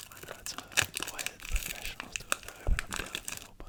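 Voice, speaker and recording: Noticeable background noise accompanies fairly quick whispering. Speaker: ASMR creator. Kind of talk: ASMR pack opening whisper. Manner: whispered.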